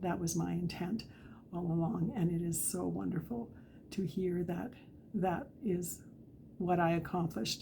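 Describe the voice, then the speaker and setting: The voice has a dark, mellow tone and vocal fry, in a Western Canadian accent with ordinary pitch variation. It moves at a fairly slow pace, with audible room echo. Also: woman. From Canadian Prairies, Alberta. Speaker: author. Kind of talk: casual talk to camera. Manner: halting.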